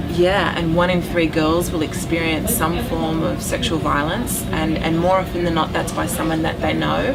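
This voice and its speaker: A woman's fairly low voice with an Australian accent, monotone and flat, at a very even loudness, with audible room echo and noticeable background noise. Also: moderate pace, hardly any pauses. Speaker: documentary filmmaker. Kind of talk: interview. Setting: restaurant.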